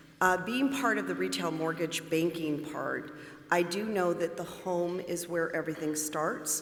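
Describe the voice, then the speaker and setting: A woman's fairly low voice, with noticeable background noise and audible room echo. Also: ordinary pitch variation, fairly slow pace. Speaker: bank mortgage manager. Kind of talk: panel introduction.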